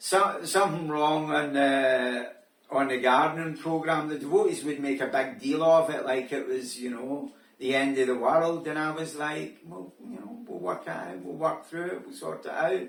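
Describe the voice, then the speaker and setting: A man with a Scottish accent, fairly high pitch, lively intonation and a moderate pace, his loudness swinging widely, amid audible room echo and noticeable background noise. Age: 60s. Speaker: vlogger. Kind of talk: casual monologue. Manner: hesitant, filler-heavy.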